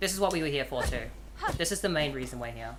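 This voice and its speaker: Someone with an Australian accent talks very fast amid noticeable background noise and audible room echo. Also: woman. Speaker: gaming streamer. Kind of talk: live gameplay commentary.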